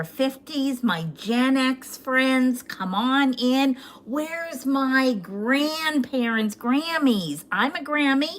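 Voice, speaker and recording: Speaking at a very slow pace with hardly any pauses, a woman uses a high pitch and lively intonation. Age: 60s. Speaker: social media livestreamer. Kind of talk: casual livestream chat. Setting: livestream on two platforms.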